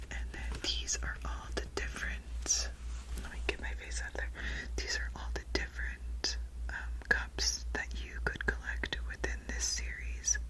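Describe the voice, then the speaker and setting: A woman whispers through noticeable background noise and audible room echo. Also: fairly slow pace. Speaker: ASMR creator. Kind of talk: ASMR haul video. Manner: whispered; slow.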